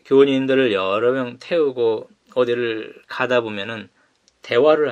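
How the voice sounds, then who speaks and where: This man speaks at a very slow pace. His voice sits at medium pitch with ordinary pitch variation. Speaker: pastor. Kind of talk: sermon.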